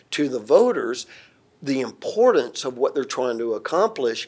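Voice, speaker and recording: With a Southern US accent, a man talks at a moderate pace in a very clean recording with a silent background. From Atlanta, Georgia, US South. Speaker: security systems integrator and company president. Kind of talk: interview, professional conversation.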